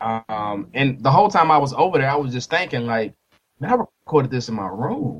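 An ordinary speaking voice at a moderate pace, lively in its intonation, with an American accent. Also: man. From US, army brat; mostly Nashville, Tennessee. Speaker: musician, former air force serviceman. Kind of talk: casual interview chat.

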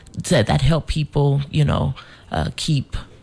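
A woman with an American accent talks at a fairly slow pace. Background noise is noticeable. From Denver, Colorado. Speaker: animal welfare center director. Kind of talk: casual radio interview. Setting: studio.

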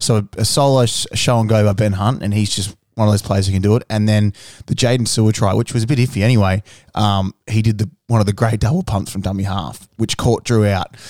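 On a very clean recording with a silent background, a man with an Australian accent talks at a fairly quick pace, his fairly low pitch held in fairly even intonation. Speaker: rugby league fan podcast co-host. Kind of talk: casual chat. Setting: studio.

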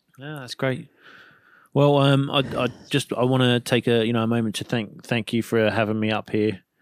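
A man with a plain, everyday voice speaks at a moderate pace and medium pitch, his intonation fairly even, in a very clean recording with a silent background and a dry, close sound with no echo. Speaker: podcast host. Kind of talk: interview, casual chat.

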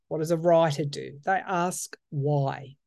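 Against a quiet background, a dark, mellow voice with an Australian accent moves at a fairly slow pace. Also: woman. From Australia, outback New South Wales. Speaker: tarot reader and astrologer podcaster. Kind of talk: solo podcast monologue with tarot reading. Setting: reading room, solo recording. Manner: hesitant, many fillers.

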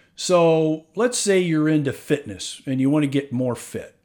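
Against a silent background on a very clean recording, a man with a plain, everyday voice talks at a fairly slow pace with ordinary pitch variation. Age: 50s. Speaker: podcast host, real estate investor. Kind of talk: solo monologue podcast. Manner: casual, filler-heavy.

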